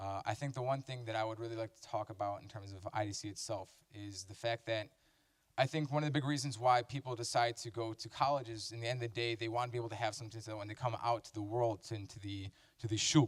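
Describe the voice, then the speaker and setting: Talking at a very fast pace, a man with a medium pitch sounds somewhat breathy, his intonation fairly even while his loudness swings widely. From US Midwest, Chicago. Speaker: university student. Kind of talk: testimonial talk. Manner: halting, many fillers.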